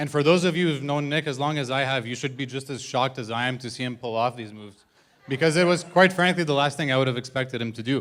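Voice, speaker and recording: At a very fast pace, a man speaks at a medium pitch. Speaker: best man giving wedding toast. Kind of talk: wedding speech. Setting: wedding reception with audience. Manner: monotone.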